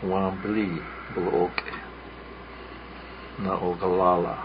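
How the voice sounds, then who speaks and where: A man with a Lakota accent speaks at a very slow pace, his pitch very deep and low, his intonation fairly even. Noticeable background noise is present. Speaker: radio host. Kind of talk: radio storytelling show. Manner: halting, many fillers.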